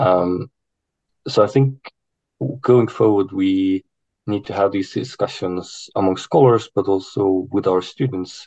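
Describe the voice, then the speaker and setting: Heard in a dry, close sound with no echo, a man speaks fairly slowly with long, frequent pauses. His voice is fairly low, dark and mellow, with ordinary pitch variation. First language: not English. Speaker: university academic, panelist. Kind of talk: online panel discussion. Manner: hesitant, many fillers.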